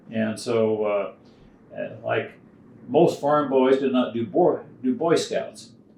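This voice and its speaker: A man with an American accent speaks in a dark, mellow tone with ordinary pitch variation. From rural Iowa, US. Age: 80s+. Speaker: retired banker and former farmer. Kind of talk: interview answer.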